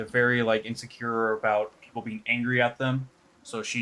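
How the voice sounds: Just a natural reading voice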